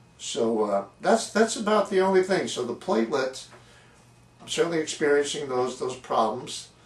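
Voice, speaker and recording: Over noticeable background noise, a man talks at a moderate pace with a fairly high pitch and very wide pitch swings. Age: 70s. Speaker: patient video blogger. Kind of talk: personal testimony vlog. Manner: halting, repeating words.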